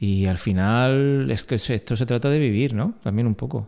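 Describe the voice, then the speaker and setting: In a very clean recording with a silent background, a man at medium pitch speaks with a dark, mellow tone and ordinary pitch variation. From Vega Baja, Alicante, Spain. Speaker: entrepreneur, engineer. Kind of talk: interview.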